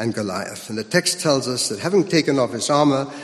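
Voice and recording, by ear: A text is being read aloud. The delivery sounds natural.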